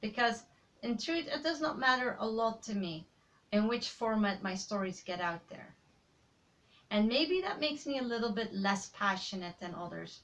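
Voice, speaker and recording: Speaking with a Dutch accent, a woman uses lively intonation at a moderate pace, her pitch fairly high. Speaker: aspiring writer, vlogger. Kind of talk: personal vlog monologue.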